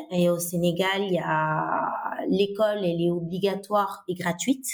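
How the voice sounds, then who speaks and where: A woman speaks in a plain, everyday voice at medium pitch. Her intonation is fairly even. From Senegal (Dakar). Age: 30s. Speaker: biology teacher and education nonprofit co-founder. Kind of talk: interview conversation.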